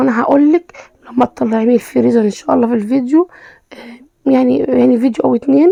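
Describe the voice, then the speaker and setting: A woman's high-pitched voice carries ordinary pitch variation. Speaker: cooking vlogger. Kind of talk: cooking tutorial. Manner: halting, many fillers.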